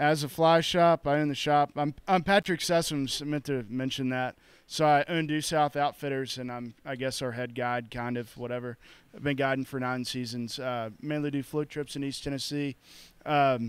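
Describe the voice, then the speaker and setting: Dry, echo-free sound with fairly even intonation and a moderate pace. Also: man. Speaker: podcast host. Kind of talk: casual podcast intro. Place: shop. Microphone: handheld.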